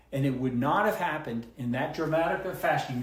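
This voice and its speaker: Noticeable background noise along with audible room echo. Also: man. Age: 60s. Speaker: physician. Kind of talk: casual consultation explaining scan results. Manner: animated.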